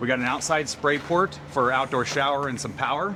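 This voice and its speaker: A man speaks with noticeable background noise. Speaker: RV salesman. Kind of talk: product walkthrough. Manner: fast.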